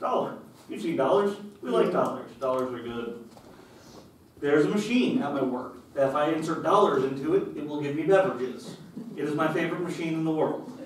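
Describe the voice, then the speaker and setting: Amid noticeable background noise and audible room echo, a man talks at a fairly quick pace and fairly high pitch with lively intonation. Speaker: lay preacher. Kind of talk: sermon. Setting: church. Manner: casual, conversational; loud.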